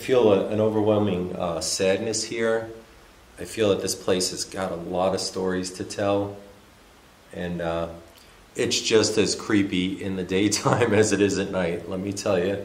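A man speaks with monotone, flat intonation. The room echo is audible. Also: fairly low pitch for a man, moderate pace. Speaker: vlogger exploring abandoned places. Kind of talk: casual vlog chat. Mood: somber, slightly spooked. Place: church.

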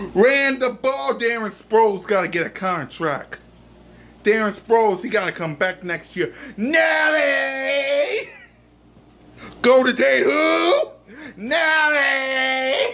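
A man speaks slowly with lively intonation and an extremely high, bright, sharp voice.

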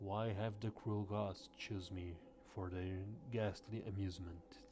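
A man puts on a guttural character voice, fairly low in pitch, at a fairly slow pace. Clear background noise runs underneath. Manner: uneasy, anguished.

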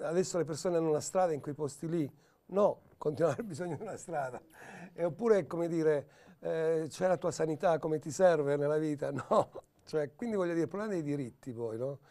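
A man speaks at a fairly quick pace with a fairly high pitch and ordinary pitch variation. His tone is dark and mellow over a quiet background. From Turin, northern Italy (born in Calabria); Turin. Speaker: film director. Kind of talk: interview. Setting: newsroom studio.

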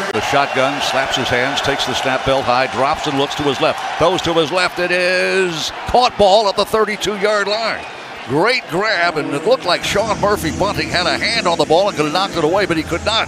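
Barely pausing, a man speaks with lively intonation. The sound is dry without echo, with noticeable background noise. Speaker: radio sports commentator. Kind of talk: live radio play-by-play. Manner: fast, energetic. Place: booth.

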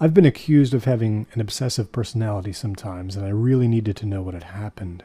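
A man with a fairly low pitch and a dark, mellow tone talks at a fairly quick pace, somewhat breathy and deadpan. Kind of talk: first-person horror narration. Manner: low, measured, deadpan storytelling that builds dread.

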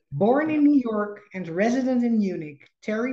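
Moving at a moderate pace, a woman's dark, mellow voice swings very widely in pitch, with audible room echo over a quiet background. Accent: Dutch. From Netherlands. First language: Dutch. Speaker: podcast host and psychologist. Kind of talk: podcast interview. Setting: video call. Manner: halting. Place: home room. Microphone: video call.

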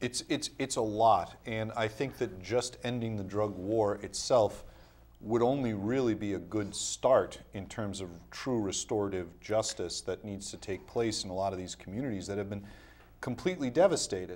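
A man with an American accent and a fairly low pitch uses an ordinary speaking voice, ordinary pitch variation and a moderate pace. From Rhode Island, US. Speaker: criminal defense attorney, former mayor; interview guest, attorney. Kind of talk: interview. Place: studio.

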